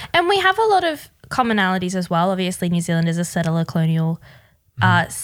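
A woman's fairly low voice in an Australian accent, at a fairly quick pace. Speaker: podcast co-host. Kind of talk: casual chat.

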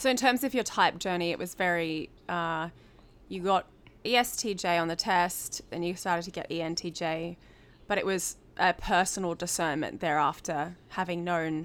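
Woman's fairly low voice at a fairly slow pace with ordinary pitch variation. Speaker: podcast host. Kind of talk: casual interview chat. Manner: talkative.

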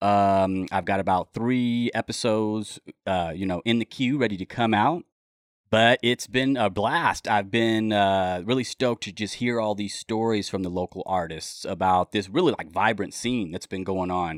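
Speaking at a moderate pace, a man has a fairly low pitch. His pitch variation is ordinary. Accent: American. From Southern California (Los Angeles, Mojave Desert). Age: 30s. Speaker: podcast host, guest. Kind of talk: casual interview. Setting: studio. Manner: hesitant, many fillers.

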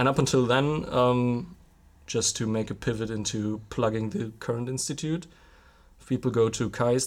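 In a German accent, a man speaks at a moderate pace and medium pitch on a very clean recording with a silent background. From Germany, Ruhr area (Witten). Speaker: university project officer. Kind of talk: casual interview chat.

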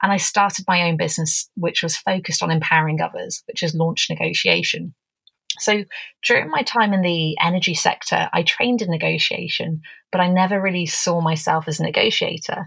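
Speaking at a fairly quick pace, this woman has an English accent. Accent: English accent, mistaken for South American. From England. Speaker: negotiation expert. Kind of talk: interview, conversational. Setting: remote call.

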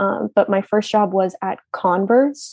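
This is an ordinary speaking voice with an American accent and ordinary pitch variation. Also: woman. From US, northern Virginia (Leesburg). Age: 20s. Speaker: university student. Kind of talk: casual interview.

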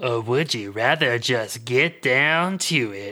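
Over a silent background on a very clean recording, a man puts on a gruff character voice at medium pitch and a fairly slow pace. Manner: blunt, matter-of-fact.

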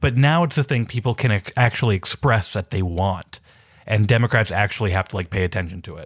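Very fast and somewhat breathy, a man with an American accent talks at fairly low pitch with ordinary variation, the very clean recording dry and close with no echo over a silent background. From Minneapolis, US Midwest. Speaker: journalist and newsletter writer. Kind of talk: casual political discussion.

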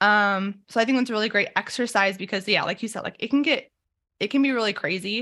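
Very fast and in an American accent, the voice has a bright, sharp tone and ordinary pitch variation, on a very clean recording with a silent background. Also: woman, fairly high pitch for a woman. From Idaho. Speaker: former wildland firefighter and military member. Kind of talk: casual interview.

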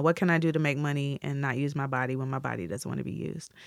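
This woman speaks very fast. Her words come at a rapid clip. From US Midwest. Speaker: chef, food stylist and TV cooking presenter. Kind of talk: interview.

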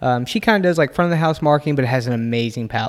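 A man at medium pitch. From Kentucky. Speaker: distillery barrel curator. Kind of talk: casual chat.

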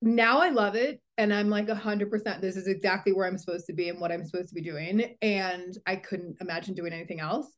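In an American accent, the speaker talks at a very fast pace with hardly any pauses. Pitch variation is ordinary, and the background is quiet. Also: woman, medium pitch for a woman. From New England, US East Coast. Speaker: talent manager. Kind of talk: casual interview.

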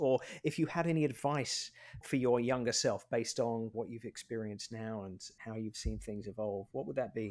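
With a plain, everyday voice, a man talks at a moderate pace and medium pitch, using ordinary pitch variation. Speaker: podcast co-host. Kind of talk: casual chat and interview.

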